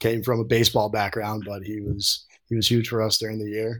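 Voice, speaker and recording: A man speaks in an American accent at a fairly low pitch. His intonation is monotone and flat. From upstate New York (Troy). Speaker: college hockey captain. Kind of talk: interview. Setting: video call.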